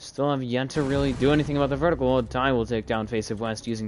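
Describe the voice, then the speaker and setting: A man with a plain, everyday voice, medium in pitch, at a fairly quick pace. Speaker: esports caster. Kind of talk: live commentary.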